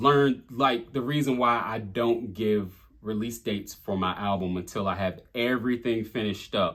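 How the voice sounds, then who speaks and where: The pace here is moderate. A Southern US accent comes through in the speech. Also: man, medium pitch for a man. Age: 40s. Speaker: rapper. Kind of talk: lyric breakdown monologue. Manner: casual with many fillers.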